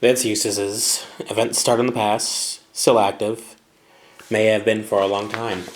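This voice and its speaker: The man talks at a fairly slow pace in a monotone, flat delivery. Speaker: English teacher. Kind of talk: grammar lesson. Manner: casual.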